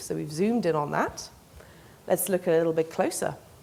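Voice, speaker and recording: A woman with an English accent. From England. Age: young. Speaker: PhD researcher in mechanical engineering. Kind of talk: public science talk.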